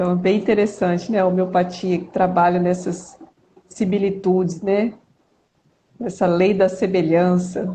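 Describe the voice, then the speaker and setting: Somewhat breathy woman's voice at medium pitch, fairly slow, with monotone, flat intonation and long, frequent pauses. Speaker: pharmacy professor and researcher. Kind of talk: live-stream interview.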